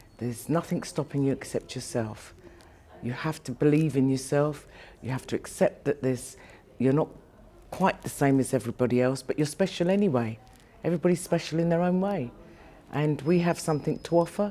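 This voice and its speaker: This woman's voice is very deep and low, with a dark, mellow tone and ordinary pitch variation. She speaks at a fairly quick pace but leaves long, frequent pauses. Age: 70s. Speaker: artist. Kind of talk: interview.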